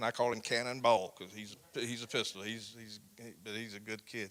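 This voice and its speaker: A man with a South Carolina accent and fairly even intonation. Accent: South Carolina Southern. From US South, South Carolina (Barnwell County). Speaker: county sheriff. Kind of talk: interview in church. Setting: church event. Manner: loud.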